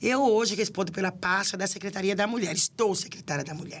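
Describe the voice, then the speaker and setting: A woman with a normal speaking voice and medium pitch talks at a moderate pace with ordinary pitch variation. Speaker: city councillor and women's affairs official. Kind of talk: podcast interview.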